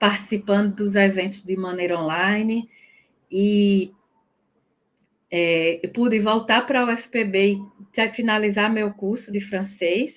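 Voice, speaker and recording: A woman with a northeastern Brazilian accent, very slow in pace, her intonation fairly even. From Northeast Brazil. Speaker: French teacher. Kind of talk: personal testimony. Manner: halting.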